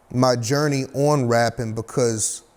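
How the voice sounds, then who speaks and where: A man speaks in a flat monotone with an American accent. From North Carolina. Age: 30s. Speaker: independent rapper. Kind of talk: podcast interview. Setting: window tint shop.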